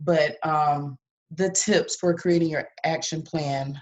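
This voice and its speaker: Very deep and low for a woman, this somewhat breathy voice moves at a very slow pace in a monotone, flat delivery. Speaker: business coach. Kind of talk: motivational talk.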